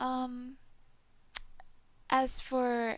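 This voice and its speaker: An American accent marks the speech. The voice belongs to a woman. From United States. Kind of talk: casual talk to camera. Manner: hesitant, many fillers.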